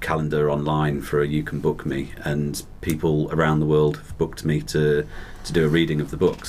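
A man's very deep, low voice at a moderate pace, with fairly even intonation and noticeable background noise. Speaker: novelist, guest author.

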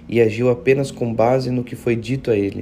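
Recorded with audible room echo, a man's medium-pitched voice sounds somewhat breathy with a dark, mellow tone. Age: 20s. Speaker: pastor. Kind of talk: devotional sermon. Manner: casual, conversational.

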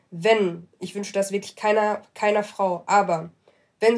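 A woman's medium-pitched voice moves along at a moderate speed. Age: 20s. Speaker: law graduate aspiring to human rights law. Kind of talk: casual interview.

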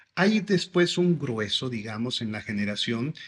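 Man with an ordinary speaking voice, medium pitch and lively intonation. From Mexico, Veracruz (Xalapa). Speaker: school director. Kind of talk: interview.

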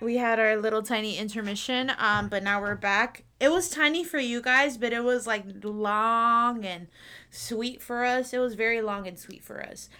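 Her tone is bright, sharp and animated, and the woman keeps a moderate pace with ordinary pitch variation. Her loudness swings widely. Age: 20s. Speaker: podcast co-host. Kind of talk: casual chat. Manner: animated, laughing often.

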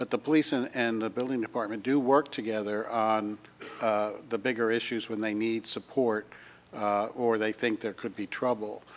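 Using a plain, everyday voice, a man speaks at a moderate pace with medium pitch and fairly even intonation. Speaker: council member. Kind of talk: public meeting.

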